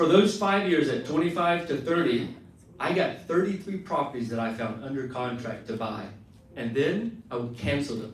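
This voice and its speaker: A man's fairly quick speech with lively intonation, amid audible room echo and noticeable background noise. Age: 30s. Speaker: real estate investor. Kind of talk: motivational talk. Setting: stage with audience.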